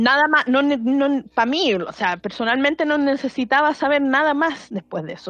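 In a Chilean accent, a woman speaks at a high pitch and moderate pace with lively intonation against a quiet background. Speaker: podcast co-host. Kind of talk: casual chat.

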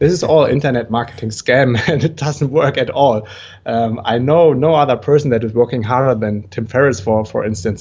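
With a quiet background, a man speaks at a moderate pace and medium pitch, somewhat breathy, with ordinary pitch variation. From Germany (Düsseldorf, western Germany). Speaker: entrepreneur and digital nomad. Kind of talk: interview. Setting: remote call.

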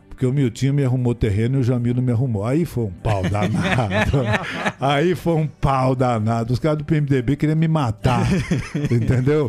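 Over noticeable background noise, the voice moves at a moderate pace with ordinary pitch variation and very even loudness. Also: man, medium pitch for a man. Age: 60s. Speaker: radio broadcaster. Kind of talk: interview, storytelling. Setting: studio.

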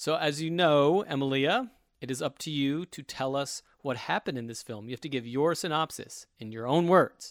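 Recorded very cleanly over a silent background, a man with a plain, everyday voice talks at a moderate pace, fairly high in pitch with ordinary pitch variation. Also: big swings in loudness. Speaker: podcast host. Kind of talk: casual chat.

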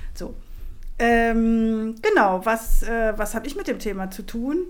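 The speech moves at a very slow pace. Audible room echo surrounds it. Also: woman. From Germany. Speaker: activist and lecturer. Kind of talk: casual interview conversation.

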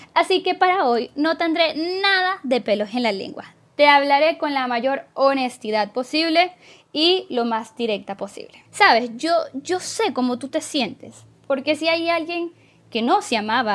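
At a high pitch, a woman talks in an animated tone with very wide pitch swings and a fairly slow pace. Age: 20s. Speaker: podcast host. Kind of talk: casual self-help monologue.

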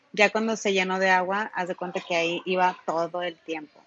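Speaking at a fairly slow pace and medium pitch, a woman keeps her intonation fairly even. Hers is an unremarkable speaking voice. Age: 20s. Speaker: traveler and creative. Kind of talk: casual interview chat.

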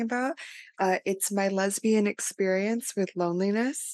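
Dry and close with no echo over a quiet background, this woman has an unremarkable speaking voice at a medium pitch with fairly even intonation. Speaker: podcast co-host. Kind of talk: casual chat.

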